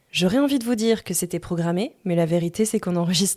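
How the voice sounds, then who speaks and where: A woman at a fairly low pitch, very fast pace, dry close sound with no echo, and a very clean recording with a silent background. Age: 30s. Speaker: podcast host. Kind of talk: personal storytelling monologue. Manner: casual.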